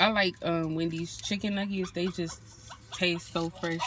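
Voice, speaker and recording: Recorded with a dry sound and no echo, a woman speaks over noticeable background noise. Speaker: vlogger. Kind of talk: casual vlog chat. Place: car. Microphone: phone near.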